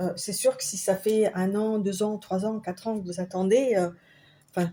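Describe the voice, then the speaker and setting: A woman talks at a very slow pace. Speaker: tarot card reader. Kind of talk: tarot reading. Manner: halting.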